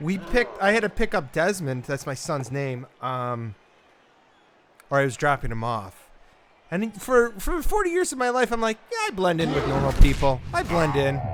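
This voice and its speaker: With a northern Midwest accent and over noticeable background noise, a man speaks at a moderate pace in a fairly high pitch with very wide pitch swings. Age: 40s. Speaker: gamer. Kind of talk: casual chat.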